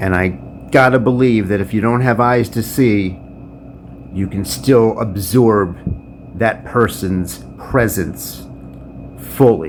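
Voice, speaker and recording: A man speaks at a very slow pace with a fairly low pitch and ordinary pitch variation, leaving long, frequent pauses over noticeable background noise. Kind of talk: freestyle spoken word poem.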